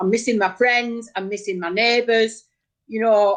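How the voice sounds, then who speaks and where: A northern English accent at a moderate pace with ordinary pitch variation. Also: woman. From northern England, Oldham (Bardsley). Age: 50s. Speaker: local campaigner. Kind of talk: casual chat.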